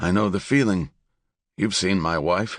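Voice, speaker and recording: A man puts on a raspy character voice pitched very deep and low, with ordinary pitch variation at a moderate pace. The sound is dry and close with no echo, over a quiet background. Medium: read story.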